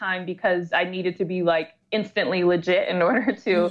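A woman with an American accent speaks at a moderate pace in an unremarkable speaking voice of medium pitch, against a quiet background. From Metro Detroit, Michigan. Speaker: entrepreneur and productivity coach. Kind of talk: interview.

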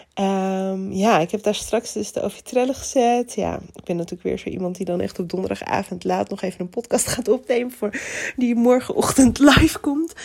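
Against noticeable background noise, a woman of medium pitch speaks at a moderate pace with ordinary pitch variation. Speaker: podcast host. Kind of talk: personal update monologue. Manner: cheerful.

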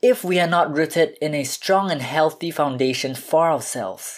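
Over a silent background in a very clean recording, a man speaks at a moderate pace, his pitch fairly high and varying in an ordinary way. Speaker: podcast host. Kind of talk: solo podcast monologue. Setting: home recording, no studio.

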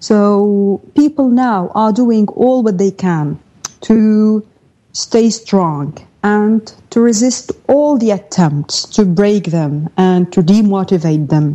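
A woman's medium-pitched voice with an Arabic accent, a dark, mellow tone, lively intonation, very even loudness and a very slow pace. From Syria (Daraa region). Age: 30s. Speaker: journalist and editor. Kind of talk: live radio interview. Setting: remote live link from Damascus.

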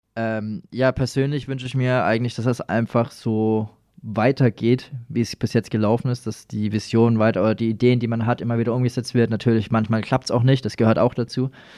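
Dark, mellow tone in monotone, flat intonation at a fairly quick pace with hardly any pauses, in a dry, close sound with no echo. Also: man, medium pitch for a man. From Lower Franconia, Germany (Schweinfurt area). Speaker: breakdance performer and entertainment company manager. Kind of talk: casual interview. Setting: studio.

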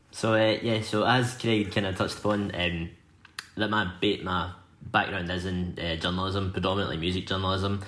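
A man talks in a west of Scotland accent, his pitch very deep and low. His intonation stays flat and monotone. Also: moderate pace. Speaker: magazine editor and music journalist. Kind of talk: casual interview chat.

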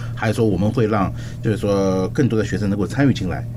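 Over noticeable background noise, someone with a Chinese accent speaks at a very fast pace with fairly even intonation. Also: man. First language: Mandarin Chinese. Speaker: cultural exchange program director. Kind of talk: radio interview. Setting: studio. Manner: halting.

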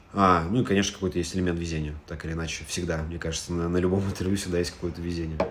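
In a very deep, low voice, a man speaks very fast with monotone, flat intonation, and the room echo is audible. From Russia, Moscow. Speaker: startup data executive. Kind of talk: interview.

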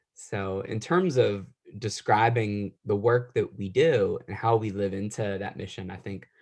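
Fairly even intonation with an American accent, an ordinary speaking voice, and a quiet background. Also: man. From West Virginia (Wheeling). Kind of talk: interview.

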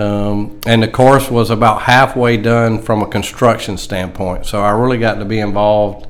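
In a room with audible echo and noticeable background noise, a man with a fairly low pitch speaks at a moderate pace in a monotone, flat intonation, with hardly any pauses. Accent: Southern US. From South Carolina (Greenwood). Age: 60s. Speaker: golf professional. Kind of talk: casual interview.

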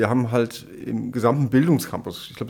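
A man's plain, everyday voice at a medium pitch, with a moderate pace and fairly even intonation. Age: 50s. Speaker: nursing school director. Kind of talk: interview.

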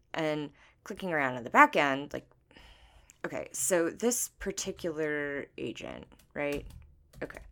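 A woman's very deep, low voice with a bright, sharp tone and lively intonation, big swings in loudness, a fairly slow pace and long, frequent pauses, on a very clean recording with a silent background. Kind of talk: horror fiction narration. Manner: hushed, tense first-person storytelling, building dread.

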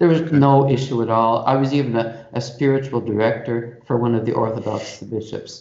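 Audible room echo surrounds a man speaking at a fairly quick pace in a Canadian accent. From Canada, Toronto. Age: 60s. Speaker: Jesuit priest and institute rector. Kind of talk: interview.

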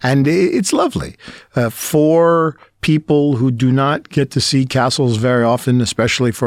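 Someone with a New York accent talks at a moderate pace with ordinary pitch variation, on a very clean recording over a silent background. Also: man. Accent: New York American. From New York City, Brooklyn. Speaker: language school owner and English teacher. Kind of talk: casual interview. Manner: hesitant with fillers.

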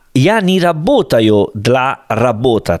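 Pitch swinging very widely, a man speaks very slowly in an Italian accent. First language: Italian (speaking Russian). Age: 30s. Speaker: podcast co-host. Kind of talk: casual chat.

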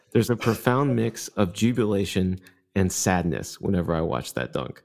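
A man with a normal speaking voice talks at a moderate pace with lively intonation and a fairly low pitch, on a very clean recording with a silent background. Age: 30s. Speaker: podcast co-host. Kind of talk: casual chat.

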